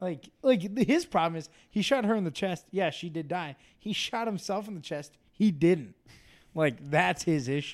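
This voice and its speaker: Here a man talks with a high pitch and lively intonation. His pace is moderate. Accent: American. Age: 20s. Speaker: podcast co-host. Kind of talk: casual chat.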